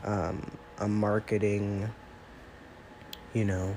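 A man speaks with a nasal, slightly mellow tone.

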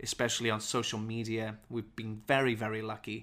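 A man talks in a Welsh accent at a moderate pace. His pitch sits in the medium range. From Wales. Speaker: English teacher. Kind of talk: unscripted podcast monologue. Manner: clear, teacherly.

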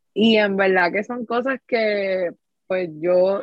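This is a plain, everyday voice. The woman's pitch sits in the medium range and varies in an ordinary way. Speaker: podcast host. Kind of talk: casual chat.

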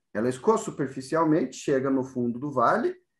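Pitch swings very widely as a man talks at a moderate pace. The background is quiet. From southern Brazil, interior of Rio Grande do Sul. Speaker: professor. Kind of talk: interview. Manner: frequent fillers, tag questions.

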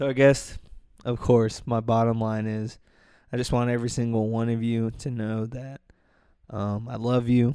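A man at a medium pitch talks in a dark, mellow tone with monotone, flat intonation at a moderate pace, taking long, frequent pauses in a very clean recording with a silent background. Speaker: solo podcast host. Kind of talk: casual monologue. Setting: living room at home. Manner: soft-spoken; hesitant, many fillers.

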